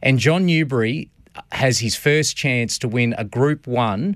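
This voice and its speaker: Against a quiet background, a man with an Australian accent talks with ordinary pitch variation. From Queensland, Australia (Redcliffe, north Brisbane). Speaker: harness racing commentator. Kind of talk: radio interview. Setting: radio studio.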